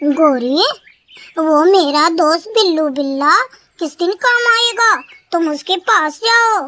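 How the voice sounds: A cartoonish character voice pitched extremely high, delivered at a very slow pace.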